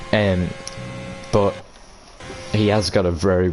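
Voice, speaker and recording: Background noise is noticeable behind a man whose pitch is very deep and low. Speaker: esports race commentator. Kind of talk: live commentary. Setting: live stream. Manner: flat, not showing excitement.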